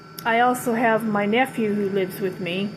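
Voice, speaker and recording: Noticeable background noise sits behind a woman with an American accent. Her pitch is medium and her pace fairly slow. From Ventura, California. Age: 60s. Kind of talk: casual talk to camera.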